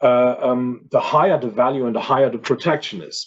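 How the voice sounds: At a fairly quick pace, a man talks at medium pitch with ordinary pitch variation and a slightly husky edge.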